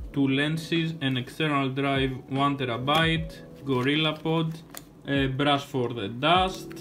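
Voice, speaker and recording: Over clear music in the background, a man speaks at a very slow pace with fairly even intonation. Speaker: vlogger. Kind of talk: casual vlog chat. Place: home room. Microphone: phone near.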